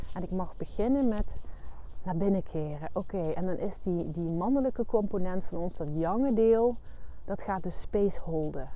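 At a moderate pace, a woman of medium pitch talks with lively intonation amid audible room echo. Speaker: therapist and coach podcast host. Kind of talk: solo monologue, spiritual self-help talk. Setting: outdoors, walking on the heath. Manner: hesitant, with fillers.

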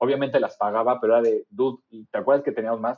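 A man speaks at a very fast pace. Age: 40s. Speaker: user experience designer. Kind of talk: casual chat.

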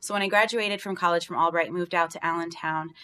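With an American accent and a plain, everyday voice, a woman talks at a fairly low pitch with fairly even intonation on a very clean recording with a silent background. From rural Pennsylvania, Bradford County. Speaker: business owner, seafood entrepreneur. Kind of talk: interview.

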